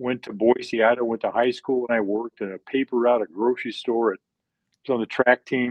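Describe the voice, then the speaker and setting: In an American accent, a man talks at a fairly quick pace with a medium pitch and monotone, flat intonation. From US, southern Utah. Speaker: retired business executive. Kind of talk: interview testimony.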